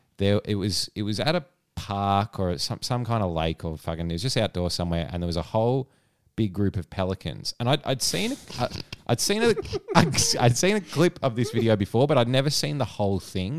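Speaking fairly quickly with an Australian accent, a man with a fairly low voice sends his pitch through very wide swings. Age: 30s. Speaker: podcast co-host. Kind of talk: casual chat.

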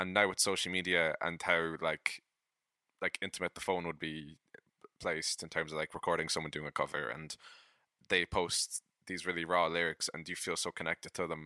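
Recorded dry and close with no echo, a man with an Irish accent speaks in a very deep, low pitch with a bright, sharp tone and monotone, flat intonation. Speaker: podcast co-host and musician. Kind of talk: casual chat. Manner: halting.

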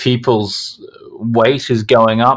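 A man with an Australian accent speaks at a medium pitch. The recording is very clean, with a silent background. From Australia, Brisbane. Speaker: sleep product entrepreneur. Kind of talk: podcast interview.

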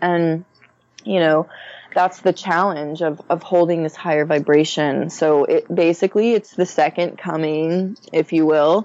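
A plain, everyday voice: a woman with an American accent, fairly low in pitch, fairly even in intonation, at a fairly slow pace. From Texas, Conroe north of Houston. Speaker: astrologer and spiritual guide. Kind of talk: interview.

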